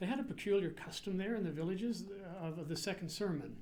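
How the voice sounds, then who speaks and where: A man with a New England accent talks at a fairly quick pace, with audible echo from the room. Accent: American (Yankee). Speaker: priest and seminary president. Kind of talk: public lecture. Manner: casual, hesitant with fillers.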